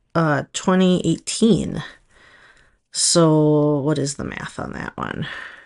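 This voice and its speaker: Against a quiet background, a woman with a Minnesotan accent and a very deep, low pitch speaks at a fairly slow pace. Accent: Minnesota. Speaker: nail polish stylist, video creator. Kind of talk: casual tutorial. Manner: casual, hesitant with fillers.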